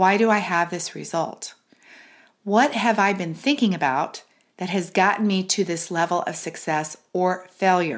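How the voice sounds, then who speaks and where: The recording is very clean with a silent background. A woman talks in a medium pitch at a fairly slow pace. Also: ordinary pitch variation. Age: 50s. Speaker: business coach podcast host. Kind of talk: solo podcast monologue. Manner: animated.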